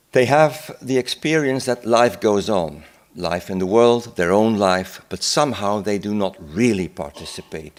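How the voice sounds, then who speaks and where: A man speaks with a Dutch accent at a fairly slow pace. His fairly low voice has lively intonation. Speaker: psychiatrist. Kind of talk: conference talk. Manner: halting.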